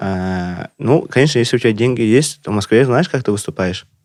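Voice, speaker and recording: On a very clean recording with a silent background, a man with a non-native accent talks at medium pitch with ordinary pitch variation. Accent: non-native Russian. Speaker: stand-up comedian. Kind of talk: casual podcast chat.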